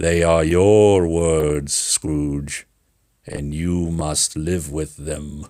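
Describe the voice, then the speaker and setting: A man puts on a character voice. It is very deep and low, delivered at a very slow pace. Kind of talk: read story. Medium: read story.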